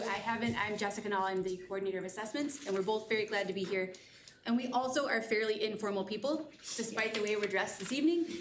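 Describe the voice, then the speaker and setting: A woman at a very fast pace, fairly high in pitch, with ordinary pitch variation, audible room echo and noticeable background noise. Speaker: school district assessment coordinator. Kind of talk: data presentation at board meeting. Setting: board room meeting.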